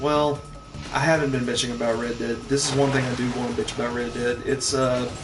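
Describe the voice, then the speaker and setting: Music plays in the background, with audible room echo. A man speaks at a medium pitch with fairly even intonation. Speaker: gaming streamer. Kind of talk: casual gameplay commentary. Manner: quieter than usual.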